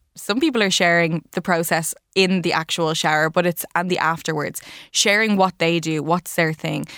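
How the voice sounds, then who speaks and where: In an Irish accent, a woman speaks at a moderate pace in a fairly low pitch, recorded very cleanly against a silent background with a dry, close sound and no echo. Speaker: wellness commentator. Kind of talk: news roundup chat.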